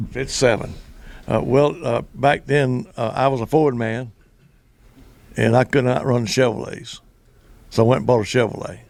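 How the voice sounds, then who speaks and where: A man with a Southern US accent, medium pitch and ordinary pitch variation, at a moderate pace with long, frequent pauses. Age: 80s+. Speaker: former drag racer and track announcer. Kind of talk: casual interview. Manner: halting.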